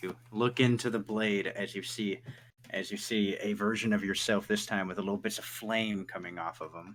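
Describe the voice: What we hear is plain reading aloud.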